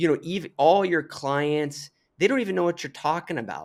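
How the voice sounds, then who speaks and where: The recording is very clean, with a silent background. A man speaks at a fairly high pitch with ordinary pitch variation. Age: 40s. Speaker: podcast host and hunter. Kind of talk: casual chat. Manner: halting.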